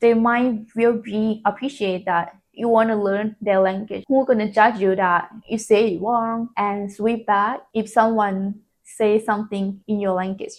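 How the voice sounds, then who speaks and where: Speaking at a fairly slow pace with a non-native accent, a woman with a fairly high pitch keeps a monotone, flat intonation against a quiet background. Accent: non-native English speaker. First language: not English. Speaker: self-taught English learner. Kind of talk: casual talk to camera.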